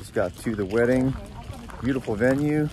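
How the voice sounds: Ordinary pitch variation at a moderate pace, with a slightly mellow tone and audible room echo. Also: man, medium pitch for a man.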